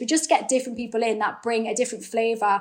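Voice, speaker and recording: A woman's fairly high voice in a Geordie accent, very fast, with fairly even intonation. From northeast England. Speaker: actor. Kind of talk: interview.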